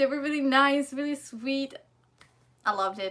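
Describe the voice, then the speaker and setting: A woman in a German accent, high-pitched, raised and projected, bright and sharp in tone, with lively intonation at a moderate pace. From Germany. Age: 20s. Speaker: vlogger, student in Korea. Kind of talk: casual livestream chat and Q&A. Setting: livestream. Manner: casual, hesitant with fillers.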